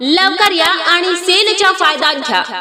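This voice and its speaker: A woman speaks in a raised, projected voice with an energetic tone over noticeable background noise. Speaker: voice-over artist. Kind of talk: shop sale promotional announcement. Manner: energetic, inviting.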